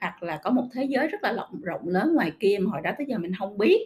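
Lively intonation in a somewhat breathy, fairly high-pitched woman's voice. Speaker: podcast host. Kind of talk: casual monologue podcast.

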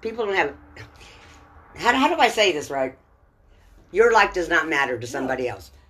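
A woman with an American accent, fairly low in pitch, at a fairly quick pace, with very wide pitch swings, big swings in loudness, and long, frequent pauses. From Texas. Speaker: podcast guest, host's mother. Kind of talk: casual chat.

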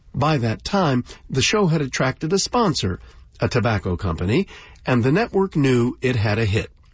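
Somewhat breathy and warm in tone, a man's medium-pitched voice keeps very even loudness while swinging very widely in pitch at a moderate pace. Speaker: radio host. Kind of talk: radio host introductions, scripted and polished. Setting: radio studio. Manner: warm, smooth, and genial.

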